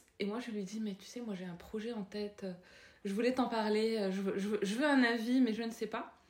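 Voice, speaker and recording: Against noticeable background noise, a woman talks at a fairly high pitch with fairly even intonation. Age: 30s. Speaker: parenting influencer. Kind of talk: casual interview. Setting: home. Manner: halting.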